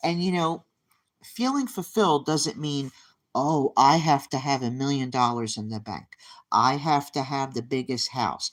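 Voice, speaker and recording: The recording is very clean, with a silent background. The speech moves at a fairly slow pace. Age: 50s. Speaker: YouTube livestreamer. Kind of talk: motivational talk to live chat. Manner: emphatic, repeats phrases.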